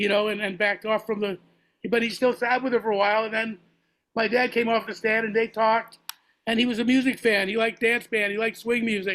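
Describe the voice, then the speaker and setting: Speaking very fast, a man with an American accent holds a high pitch in a monotone, flat intonation. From Massachusetts, Boston area. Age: 70s. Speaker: jazz musician and podcast host. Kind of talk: casual interview conversation.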